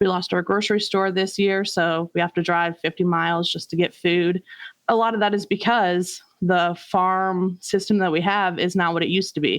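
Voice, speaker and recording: A woman with a Midwestern American accent speaks at a medium pitch, in a monotone, flat intonation. Her loudness stays very even against a quiet background. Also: moderate pace. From rural Iowa. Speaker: community organizer. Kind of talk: interview testimony.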